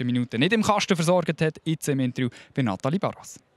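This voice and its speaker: A man with a Swiss accent talks very fast, his pitch fairly high and its variation ordinary. The recording is very clean with a silent background, and the sound is dry and close with no echo. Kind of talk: studio sports show presenting. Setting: TV broadcast at the stadium.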